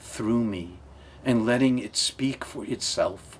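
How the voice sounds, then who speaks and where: A man's voice sits at a medium pitch, moving along at a very slow pace with ordinary pitch variation. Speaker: minister. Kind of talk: interview testimony. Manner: loud at times.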